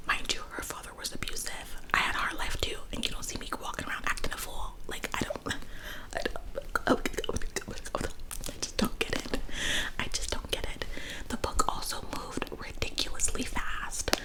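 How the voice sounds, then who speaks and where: Someone whispers in a woman's voice. Behind her, the background noise is noticeable. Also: moderate pace. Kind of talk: whispered book review ramble to camera. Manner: whispered, casual, opinionated.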